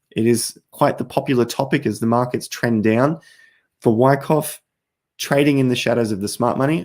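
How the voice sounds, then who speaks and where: A man with an Australian accent talks at a moderate pace and medium pitch with fairly even intonation on a very clean recording with a silent background. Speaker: crypto YouTuber. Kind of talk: live stream chat. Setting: live stream at night. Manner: casual, conversational.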